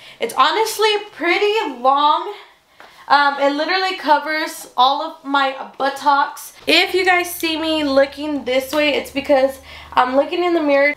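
Her voice high in pitch with ordinary variation, a woman speaks at a fairly slow pace amid audible room echo. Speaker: haul vlogger. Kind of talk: casual vlog chat. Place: home room. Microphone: camera far.

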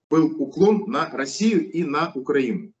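The background is quiet while a man speaks. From Kazakhstan. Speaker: opposition politician and activist; opposition politician. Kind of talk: interview. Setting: studio. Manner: long-winded, with many filler sounds. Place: home room. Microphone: video call.

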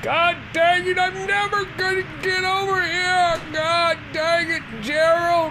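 Using a put-on character voice with an extremely high pitch, a woman speaks at a fairly slow pace over loud background noise. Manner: frustrated, shouting.

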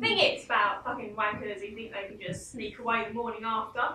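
A woman's high-pitched voice at a moderate pace, with audible room echo and light background noise. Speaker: stage actor in a one-woman play. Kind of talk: theatrical monologue, including one side of phone calls. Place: stage. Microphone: camera far.

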